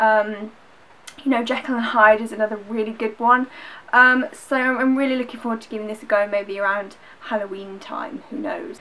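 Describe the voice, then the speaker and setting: With noticeable background noise behind her, a woman speaks at a fairly high pitch, with ordinary pitch variation and big swings in loudness. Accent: Yorkshire. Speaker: book vlogger. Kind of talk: casual chat. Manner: fast.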